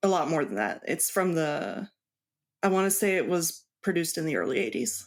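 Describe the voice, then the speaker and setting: A woman talks with a fairly low pitch, lively intonation and vocal fry. Her loudness stays very even on a very clean recording with a silent background. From Mexico. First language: Spanish. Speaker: cross stitch designer. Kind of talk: interview.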